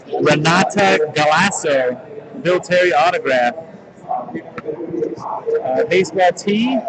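Over loud background noise, a man speaks with lively intonation. His pitch is high and his pace very slow. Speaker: sports card case breaker. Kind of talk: live-streamed card break commentary. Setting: trade show convention floor. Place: hall.

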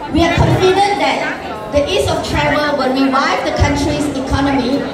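A woman at a moderate pace, with audible room echo and crowd noise in the background. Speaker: speaker. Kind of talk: formal speech. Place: hall.

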